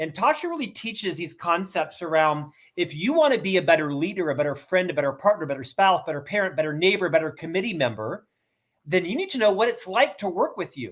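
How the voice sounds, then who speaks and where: A man's high-pitched voice with lively intonation at a very fast pace. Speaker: author and keynote speaker. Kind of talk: interview. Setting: video call. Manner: loud.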